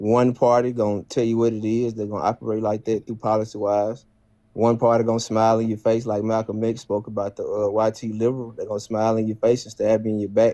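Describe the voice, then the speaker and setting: A man with a Southern accent, medium-pitched and dark, mellow in tone, in a monotone, flat intonation at a very fast pace, over a quiet background. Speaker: caller, Trump voter. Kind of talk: heated debate.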